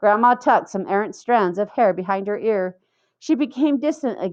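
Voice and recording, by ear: With lively intonation, someone reads aloud in a natural voice while the background stays quiet.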